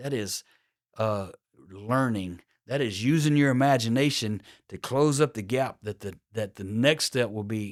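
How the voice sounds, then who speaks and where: A man with a plain, everyday voice, medium-pitched, at a fairly slow pace with ordinary pitch variation, on a very clean recording with a silent background. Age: 60s. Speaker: podcast host. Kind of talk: motivational talk. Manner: casual, with fillers and restarts.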